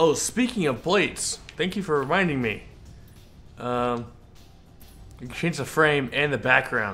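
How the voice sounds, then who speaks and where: With music in the background, a man with an American accent talks at a fairly slow pace in a fairly high voice, leaving long, frequent pauses. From California. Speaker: video game streamer. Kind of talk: live stream gameplay commentary. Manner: halting, repeats words.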